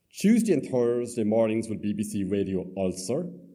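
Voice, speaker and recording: A man talks at a medium pitch in a dark, mellow tone. Audible room echo fills the recording. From Ireland, Cork. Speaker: storyteller. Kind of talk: storytelling to live audience. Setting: theatre stage with audience.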